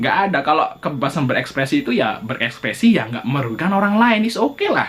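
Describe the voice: With lively intonation and a fairly bright tone, a man speaks at a fast pace. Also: fairly high pitch for a man.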